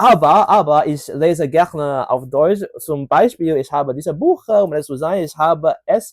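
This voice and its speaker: A man's fairly high-pitched voice, dry and close with no echo, on a very clean recording against a silent background. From Hong Kong. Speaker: polyglot language learner. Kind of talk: casual language showcase monologue. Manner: halting, many filler sounds.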